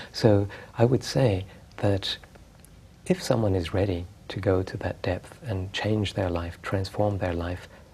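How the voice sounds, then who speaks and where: Soft-spoken and somewhat breathy, a man with a fairly low pitch speaks in a calm tone at a fairly slow pace, with fairly even intonation and long, frequent pauses. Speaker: spiritual teacher. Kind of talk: interview answer. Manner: soft-spoken, calm.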